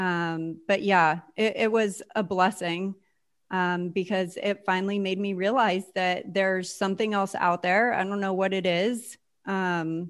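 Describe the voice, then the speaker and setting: A woman speaks at a fairly slow pace with fairly even intonation and medium pitch. Hers is an ordinary speaking voice against a quiet background. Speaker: entrepreneur and business operations lead. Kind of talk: casual interview chat.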